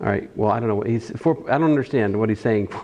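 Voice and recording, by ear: A man talks fast at a fairly low pitch, his tone dark and mellow, with ordinary pitch variation.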